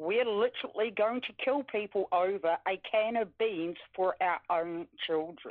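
A woman with a New Zealand accent at medium pitch, fairly slow pace and ordinary pitch variation. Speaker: caller. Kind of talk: phone call-in.

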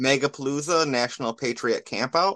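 Speaking in a normal speaking voice with an American accent, a man moves at a fairly slow pace with ordinary pitch variation, the sound dry and close with no echo. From Michigan, US. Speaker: caller, event organizer. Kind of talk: call-in chat.

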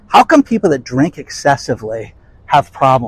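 Speaking at a moderate pace, a man uses a fairly high, somewhat breathy voice with very wide pitch swings. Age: 50s. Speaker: YouTube commentator on real estate and economy. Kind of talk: casual monologue. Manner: animated.

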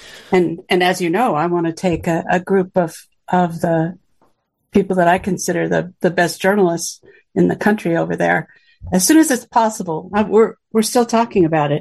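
A woman speaks at a moderate pace with fairly low pitch and vocal fry. Her pitch varies in an ordinary way. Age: 70s. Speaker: activist and MK Ultra survivor. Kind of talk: interview. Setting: video call.

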